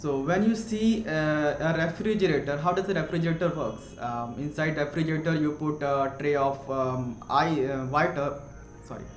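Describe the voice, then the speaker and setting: With an Indian accent, a man talks at a moderate pace in a fairly high pitch with ordinary pitch variation, amid noticeable background noise and audible room echo. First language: Hindi. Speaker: science explainer youtuber. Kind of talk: educational explainer. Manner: halting, many fillers and self-corrections.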